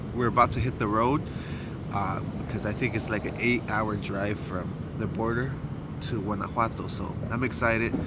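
Despite loud background noise, the sound is dry with no echo as a man talks at a moderate pace with long, frequent pauses. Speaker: travel vlogger. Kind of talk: casual vlog chat. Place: street. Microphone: phone near.

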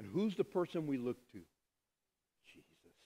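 A man's dark, mellow tone with very wide pitch swings. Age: 50s. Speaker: pastor. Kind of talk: sermon. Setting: church. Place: church.

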